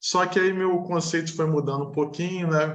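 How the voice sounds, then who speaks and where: A man with a Rio de Janeiro accent, with audible room echo around his voice. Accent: carioca. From Rio de Janeiro, Brazil. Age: 40s. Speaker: engineer, client interviewee. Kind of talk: interview testimony.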